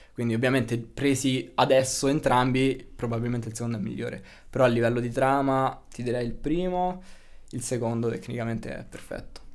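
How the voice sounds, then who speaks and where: A man talking at a fairly quick pace with fairly even intonation, audible room echo around him. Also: medium pitch for a man. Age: 20s. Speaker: video game programming student. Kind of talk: casual interview chat.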